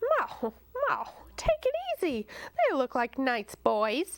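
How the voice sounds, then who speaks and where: A put-on character voice from a woman, warm in tone and high-pitched, fairly slow, very even in loudness, with a dry, close sound and no echo. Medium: read story. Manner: warm, motherly.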